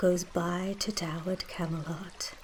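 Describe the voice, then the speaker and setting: A soft-spoken woman whispers at a very slow pace. Noticeable background noise runs beneath her. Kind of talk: poetry reading. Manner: soft-spoken, whispery.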